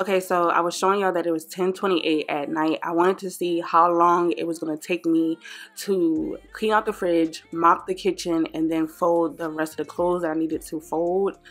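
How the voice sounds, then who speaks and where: Over music in the background, a woman with a fairly low pitch talks at a moderate pace, monotone and flat, with hardly any pauses. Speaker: stay-at-home mom vlogger. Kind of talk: cleaning vlog voiceover, casual chat. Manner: casual, chatty.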